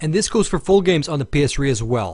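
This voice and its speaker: A man with fairly high pitch, very wide pitch swings and a somewhat breathy voice, at a very fast pace, over a quiet background. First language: Finnish. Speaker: gaming video reviewer. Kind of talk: scripted narration.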